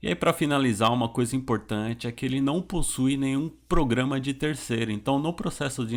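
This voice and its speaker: A man speaks at a moderate pace with ordinary pitch variation. His is an unremarkable speaking voice. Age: 30s. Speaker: computer teacher for the visually impaired. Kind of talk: tutorial. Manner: casual.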